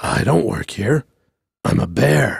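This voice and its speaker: Putting on a character voice, a man speaks in a raspy, fairly low-pitched tone. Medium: read story. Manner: polite, meek.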